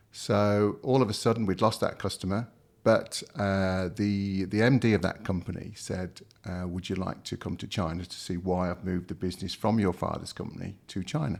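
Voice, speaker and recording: Speaking with a Midlands accent at a moderate pace, a man uses a fairly low pitch and fairly even intonation. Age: 60s. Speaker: company founder and executive. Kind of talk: interview. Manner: hesitant, many fillers.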